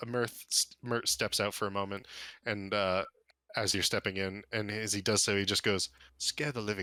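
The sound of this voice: Fairly even intonation marks an unforced reading voice.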